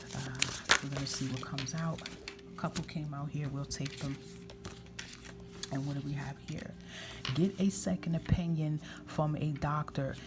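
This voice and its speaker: Soft-spoken, the voice comes out as a whisper. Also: woman. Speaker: tarot reader. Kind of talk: tarot reading, intuitive guidance to camera. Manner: soft-spoken, whispering (ASMR style).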